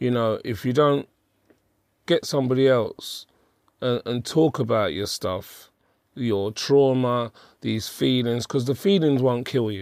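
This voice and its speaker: With a London accent, the speaker moves at a fairly slow pace with long, frequent pauses and ordinary pitch variation, on a very clean recording with a silent background. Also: man, medium pitch for a man. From Hackney, London. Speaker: life coach. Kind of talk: interview conversation.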